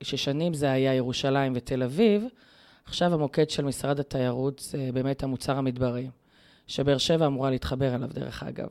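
In a very clean recording with a silent background, a woman speaks at a moderate pace. Her pitch is very deep and low, and her intonation is fairly even. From Israel, Be'er Sheva. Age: 30s. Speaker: teacher and environmental activist. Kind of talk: interview.

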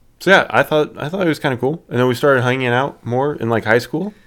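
A man with a plain, everyday voice speaks at a fairly quick pace. His pitch is medium and his intonation lively. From southern Indiana. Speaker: podcast co-host. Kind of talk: casual chat.

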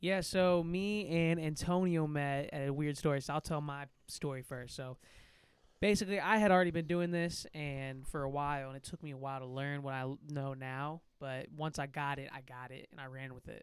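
A man with a St. Louis accent and a fairly high pitch speaks at a moderate pace with big swings in loudness. The recording is very clean, with a silent background. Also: ordinary pitch variation. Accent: St. Louis Midwestern American. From St. Louis, Missouri. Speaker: music artist and producer. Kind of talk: casual chat.

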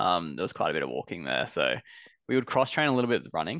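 Over a quiet background, a man with an Australian accent speaks at a very fast pace, the sound dry and close with no echo. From Brisbane, Australia. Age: 30s. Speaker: runner. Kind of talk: casual chat.

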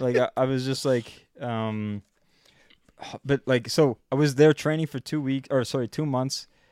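With a Canadian accent and an unremarkable speaking voice at medium pitch, a man talks fairly slowly with fairly even intonation, in a dry, close sound with no echo on a very clean recording with a silent background. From Canada. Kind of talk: casual chat.

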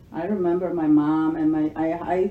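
A woman talks with a Spanish accent. Her pitch sits fairly low. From El Salvador. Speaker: mother telling her life story. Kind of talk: casual chat. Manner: halting.

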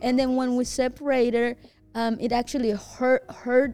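A woman with a Spanish accent, a dark, mellow tone and a moderate pace. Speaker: podcast host. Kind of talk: casual chat. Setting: studio.

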